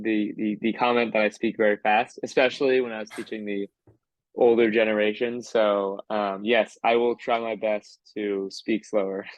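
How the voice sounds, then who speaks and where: Speaking at a fairly low pitch, a man keeps his intonation monotone and flat. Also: moderate pace. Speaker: crypto community manager. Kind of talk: interview. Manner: hesitant, many fillers.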